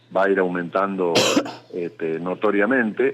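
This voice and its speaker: Noticeable background noise sits behind a man with a fairly low voice. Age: 60s. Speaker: lawyer, former human rights official. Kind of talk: radio interview. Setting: phone call.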